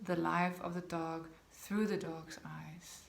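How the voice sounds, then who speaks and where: A woman with a Danish accent and a fairly low pitch, with audible room echo. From Denmark. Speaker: dog behaviour consultant. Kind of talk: talking-head video to camera.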